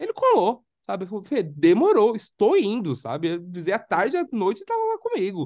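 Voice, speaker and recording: Hardly any pauses break up this man's speech. His pace is moderate. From Brazil, São Paulo. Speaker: podcast co-host. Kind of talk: casual chat.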